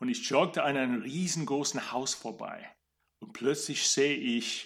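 A man speaks with an English accent. His pitch sits in the middle range. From USA. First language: English (speaking German). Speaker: opera singer and voice coach. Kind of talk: interview.

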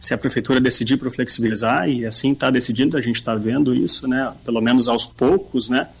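A man's medium-pitched voice with a Rio Grande do Sul accent, very fast with hardly any pauses and fairly even intonation. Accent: Rio Grande accent more than Bagé. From Bagé, Rio Grande do Sul, Brazil. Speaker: gym owner and former sports club president. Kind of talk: radio interview.

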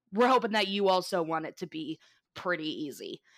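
A woman talks in a plain, everyday voice at a moderate pace. Her intonation is lively. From Florida. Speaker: podcast co-host. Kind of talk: storytelling; casual chat.

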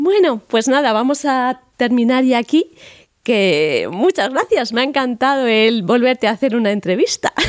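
A woman's high-pitched voice at a fairly slow pace, with lively intonation and very even loudness, in a dry, close sound with no echo. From Spain, Madrid. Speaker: podcast host. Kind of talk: casual interview.

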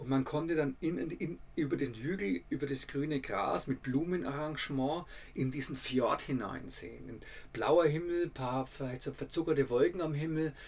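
A man's fairly high, somewhat breathy voice with a Franconian accent, ordinary pitch variation, and a moderate pace. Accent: Franconian dialect, rolled R and soft D. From Franconia, Germany. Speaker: travel writer and podcaster. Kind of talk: casual travel storytelling.

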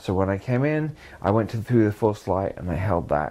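A man with a southern English accent talks at a fairly quick pace in a dark, mellow tone. His pitch swings very widely. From southern England (Sussex, Lewes near Brighton). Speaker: conspiracy experiencer interviewee. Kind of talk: testimony. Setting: indoor room in England. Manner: halting.

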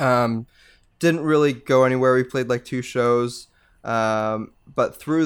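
On a very clean recording with a silent background, a man with a Canadian accent talks at a moderate pace and medium pitch in an ordinary speaking voice. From Canada, Mississauga, Ontario. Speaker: post-hardcore band vocalist. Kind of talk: casual interview chat.

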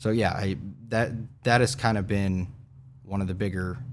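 A voice with an American accent is heard with audible room echo. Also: man. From Kansas, Newton. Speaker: state legislator. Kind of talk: interview.

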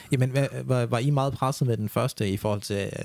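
A man speaks at a medium pitch in a dark, mellow tone. His pace is fairly quick and his intonation fairly even. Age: 20s. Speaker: podcast host. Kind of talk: casual chat. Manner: calm.

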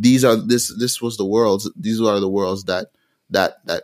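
A man with an unremarkable speaking voice talks at a fairly low pitch and a moderate pace, with fairly even intonation. The sound is dry and close with no echo, in a very clean recording with a silent background. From Montreal, Canada, with Jamaican roots. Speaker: musician. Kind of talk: interview.

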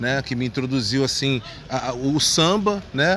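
Amid noticeable background noise, a man talks at a fairly slow pace with very wide pitch swings. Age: 30s. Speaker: samba composer and carnival art director. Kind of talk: casual interview.

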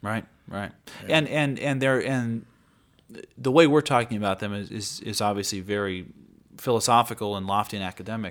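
In a very clean recording with a silent background, a man with an American accent and medium pitch speaks at a fairly quick pace with ordinary pitch variation and long, frequent pauses. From Montana, Great Falls. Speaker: lawyer and political candidate. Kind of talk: interview. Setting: studio.

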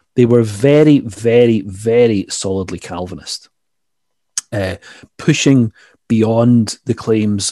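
Here a man talks with a fairly low pitch and a dark, mellow tone. His pitch variation is ordinary. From Scotland. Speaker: history lecturer. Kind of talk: interview about history.

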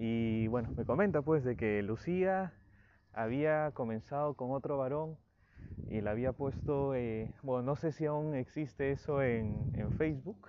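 A man speaks fairly slowly at a medium pitch, with ordinary pitch variation. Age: 20s. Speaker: psychologist. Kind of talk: solo podcast talk. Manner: hesitant with fillers.

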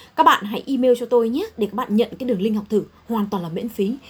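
A woman talks very fast at a fairly high pitch, with ordinary pitch variation. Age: 40s. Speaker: chief accountant. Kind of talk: talk to students.

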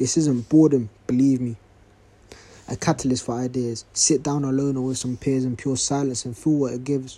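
Monotone and flat, a man speaks at a medium pitch. His tone is dark and mellow. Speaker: podcast host and spoken word poet. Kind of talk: spoken word poetry read from a notebook, after a casual intro. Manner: rhythmic, rhyming poetic delivery, reflective; casual, slightly hesitant intro with fillers.

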